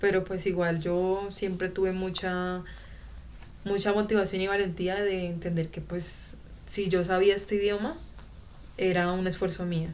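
A woman's medium-pitched, monotone voice with a Colombian accent, audible room echo and noticeable background noise. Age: 20s. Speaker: former exchange student. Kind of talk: interview testimony. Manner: halting.

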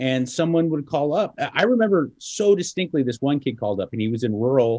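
A man's very fast speech in a Southern California accent, full of very wide pitch swings. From Los Angeles. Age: 40s. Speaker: radio host. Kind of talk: casual chat.

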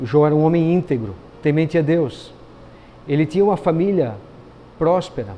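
Speaking at a moderate pace, a man with a fairly high pitch uses lively intonation and takes long, frequent pauses. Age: 50s. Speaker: pastor. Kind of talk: sermon. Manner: hesitant fillers.

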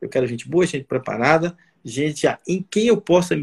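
A man speaks with lively intonation and vocal fry. The sound is dry and close, with no echo. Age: 60s. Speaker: surgeon and medical professor. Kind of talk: casual interview on a live stream. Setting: online live stream.

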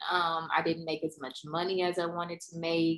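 Woman with a Mississippi accent at a moderate pace. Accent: Southern US (Mississippi). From US South, Mississippi. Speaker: scientist. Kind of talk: casual chat.

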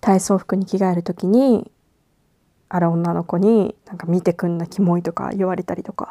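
Heard with a dry, close sound and no echo, a woman of medium pitch and a dark, mellow tone speaks at a moderate pace with fairly even intonation. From Japan. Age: 20s. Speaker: podcast host. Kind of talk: casual monologue. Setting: at home in bed. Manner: halting.

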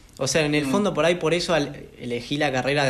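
The room's echo can be heard. A man speaks at a moderate speed, his pitch varying in an ordinary way. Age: 20s. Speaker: podcast host. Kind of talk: casual interview conversation.

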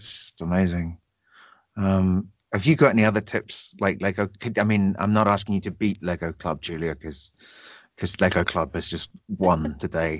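A very deep, low-pitched man with a British accent, moderate pace, ordinary pitch variation and big swings in loudness. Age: 30s. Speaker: podcast host. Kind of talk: casual chat.

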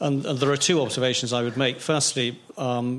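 At a fairly quick pace, a man speaks at a medium pitch with fairly even intonation, in an ordinary speaking voice. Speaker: audience member asking questions. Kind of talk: discussion question in seminar.

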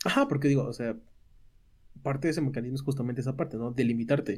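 This man's voice sits at a medium pitch with a dark, mellow tone. It is somewhat breathy, with ordinary pitch variation. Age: 20s. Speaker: podcast co-host. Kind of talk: casual chat.

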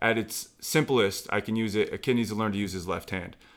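A man with a normal speaking voice at a medium pitch and a fairly quick pace, in a very clean recording with a silent background. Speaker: former basketball player, trainer. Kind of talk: casual conversation.

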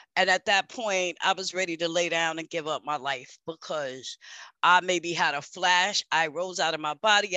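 With a New York accent, a woman speaks at a moderate pace at a fairly low pitch, with ordinary pitch variation. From New York City. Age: 50s. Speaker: peer support worker, former prisoner. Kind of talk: testimony.

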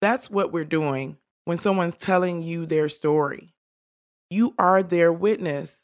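Speaking fairly slowly with an American accent, a woman uses a fairly low pitch, ordinary pitch variation and a normal speaking voice on a very clean recording with a silent background. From Detroit, US. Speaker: podcast co-host. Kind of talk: casual chat.

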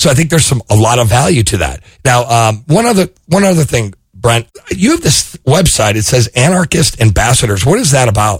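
Speaking fairly quickly at a medium pitch, a man sounds somewhat breathy, his pitch swinging very widely while his loudness stays very even. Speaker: podcast host. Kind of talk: casual interview.

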